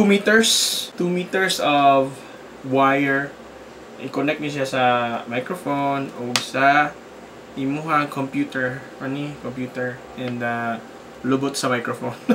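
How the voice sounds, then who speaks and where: At a fairly slow pace with long, frequent pauses, the speaker uses ordinary pitch variation against noticeable background noise. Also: man. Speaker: product reviewer. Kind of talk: casual unboxing review. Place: home room. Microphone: phone near.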